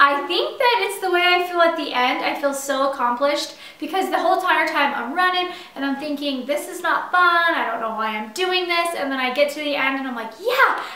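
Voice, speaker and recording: Amid noticeable background noise and audible room echo, a woman uses a raised, projected, high-pitched voice with lively intonation at a fairly quick pace. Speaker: doula. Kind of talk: casual chat. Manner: casual, animated.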